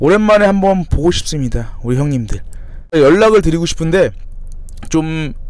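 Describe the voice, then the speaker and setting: A man's fairly high voice at a moderate pace, lively in intonation, broken by long, frequent pauses. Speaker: fitness trainer and YouTuber. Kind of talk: casual storytelling vlog.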